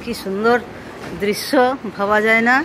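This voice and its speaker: A woman speaks at a medium pitch. Noticeable background noise runs underneath. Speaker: mother of the channel owner, visiting from India. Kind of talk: casual talk to camera, travel vlog narration. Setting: outdoors, walking to a ferry terminal.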